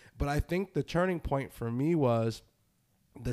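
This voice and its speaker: The recording is very clean, with a silent background and a dry, close sound with no echo. The speaker talks in an American accent with lively intonation. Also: man. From US Northeast. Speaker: podcast host. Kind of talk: casual chat. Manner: fast; animated.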